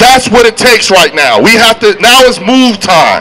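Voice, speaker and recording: A man's raised, projected voice at a high pitch, over light background noise. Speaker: rally emcee. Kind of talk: rally speech. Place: street. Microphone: handheld.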